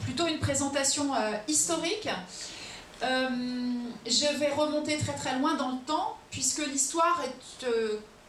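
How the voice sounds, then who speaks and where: A woman's high-pitched voice with ordinary pitch variation, very slow and broken by long, frequent pauses, amid noticeable background noise and audible room echo. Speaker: lecturer on Ukraine. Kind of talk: public lecture. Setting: auditorium with audience. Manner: hesitant, many fillers.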